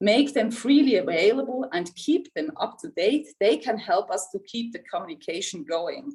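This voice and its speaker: The speaker has a Swiss German accent and a moderate pace. Very wide pitch swings fill speech that has hardly any pauses. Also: woman. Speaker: insurance executive. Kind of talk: prepared speech. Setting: video call.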